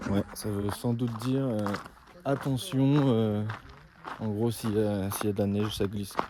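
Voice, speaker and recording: A fairly low-pitched man at a fairly slow pace, with lively intonation. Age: 20s. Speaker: travel vlogger. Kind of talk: casual vlog.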